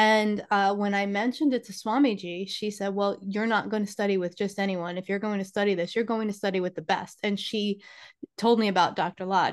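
Over a quiet background, someone with a New York accent speaks at a fairly quick pace with fairly even intonation. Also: woman, medium pitch for a woman. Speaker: spiritual teacher and healer. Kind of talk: casual interview conversation.

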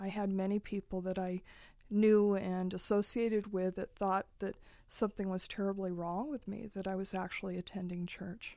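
A woman speaks in a West Coast accent with a dark, mellow tone and monotone, flat intonation. The recording is very clean, with a silent background. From Eastern Oregon, US. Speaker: nonprofit executive director and lawyer. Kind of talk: interview.

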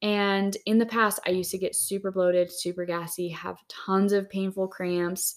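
A woman talks in an ordinary speaking voice at a medium pitch. Her pace is fairly slow. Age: 30s. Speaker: wellness podcast co-host. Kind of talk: casual chat. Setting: cabin in the desert, recording in person.

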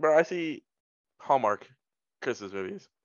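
Here a man speaks at a moderate pace. His pitch is fairly high, with lively intonation. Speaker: podcast co-host. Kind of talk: casual chat.

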